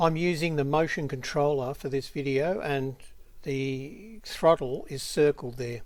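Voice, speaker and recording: An Australian accent at a fairly slow pace, with ordinary pitch variation. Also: man, fairly high pitch for a man. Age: 70s. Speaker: drone hobbyist vlogger. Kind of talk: narrated video commentary. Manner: casual, with frequent fillers.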